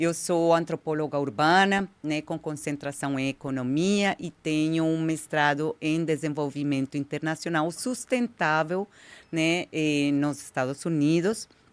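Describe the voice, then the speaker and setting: A woman with a Colombian accent speaks at a fairly slow pace in a very deep, low pitch, with ordinary pitch variation and hardly any pauses. The recording is very clean and the background silent. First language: Spanish (speaking Portuguese). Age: 50s. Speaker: diversity consultant, anthropologist. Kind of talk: interview.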